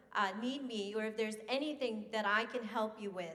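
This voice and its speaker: A woman speaks with a Southern US accent in a fairly high pitch and fairly even intonation. Room echo is audible. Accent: Southern twang. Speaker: business CEO, money manager. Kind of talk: banquet speech.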